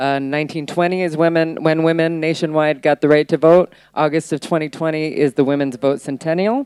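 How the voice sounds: A woman speaks at a fairly quick pace in a low voice with fairly even intonation. Her tone is clear, smooth and slightly mellow, in a dry, close sound with no echo.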